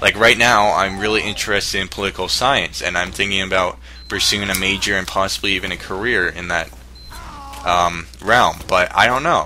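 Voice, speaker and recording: With noticeable background noise behind him, a man with a very deep, low pitch talks at a fairly quick pace with ordinary pitch variation. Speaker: YouTuber. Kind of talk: response video advice monologue. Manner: halting; casual.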